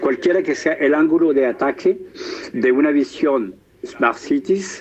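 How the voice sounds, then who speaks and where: A man speaks very slowly while noticeable background noise carries on. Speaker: professor and entrepreneur, conference speaker. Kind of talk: lecture. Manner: hesitant, many fillers.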